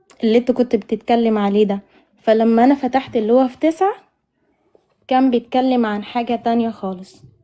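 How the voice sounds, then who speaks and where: Her pitch sits fairly high. This woman talks at a moderate pace. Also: fairly even intonation. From northern Sudan. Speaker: caller. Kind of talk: call-in religious debate. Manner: halting.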